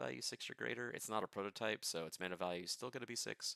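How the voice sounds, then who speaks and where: A man's bright, sharp voice moves with lively intonation and vocal fry, recorded dry and close with no echo. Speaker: card game content creator. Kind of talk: casual livestream deckbuilding. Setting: home livestream. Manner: fast.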